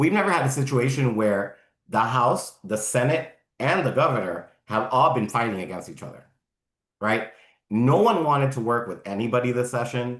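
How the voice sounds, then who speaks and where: At a moderate pace, an unremarkable speaking voice carries lively intonation. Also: man, medium pitch for a man. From Miami, Florida. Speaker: environmental group legislative director. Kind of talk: Q&A after a talk.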